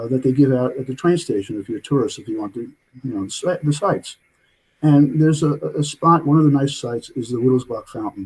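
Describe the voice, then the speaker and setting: A man with a New York accent talks at a very fast pace, somewhat breathy. His loudness swings widely, while his pitch varies in an ordinary way. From New York City (Brooklyn). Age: 70s. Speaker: author and physician. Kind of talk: interview storytelling. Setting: remote call. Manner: halting, many fillers.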